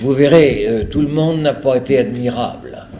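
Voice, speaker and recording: The speaker is a man. Noticeable background noise and audible room echo can be heard. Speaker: priest lecturer. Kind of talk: lecture. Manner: hesitant.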